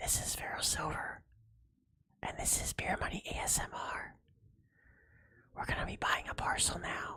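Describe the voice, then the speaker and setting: A raspy, whispering put-on character voice from a man, at a moderate pace with long, frequent pauses. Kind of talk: ASMR style.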